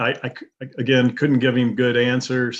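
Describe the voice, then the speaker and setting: A man talks at a moderate pace. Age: 60s. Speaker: community member giving feedback. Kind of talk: testimony. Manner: halting.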